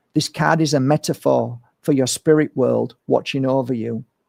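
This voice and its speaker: With a plain, everyday voice, a man speaks at medium pitch and fairly even intonation in a dry, close recording with no echo. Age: 50s. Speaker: spiritual healer and card reader. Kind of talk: live-streamed inspirational card reading.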